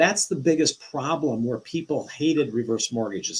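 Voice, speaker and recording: This is a normal speaking voice with lively intonation. The pace is fairly quick. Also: man. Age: 60s. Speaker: reverse mortgage lender. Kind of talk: live show interview. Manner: explanatory.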